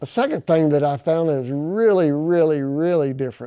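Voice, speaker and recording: A man speaks in a quiet background with a normal speaking voice. His pitch is fairly high, with ordinary pitch variation. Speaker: carpenter. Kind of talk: casual talk to camera. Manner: folksy, rambling.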